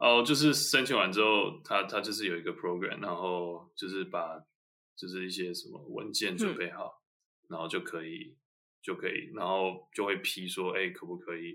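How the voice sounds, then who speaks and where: Big swings in loudness mark a man speaking at a moderate pace. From Taiwan. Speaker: MBA graduate, consultant. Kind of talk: interview. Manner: halting.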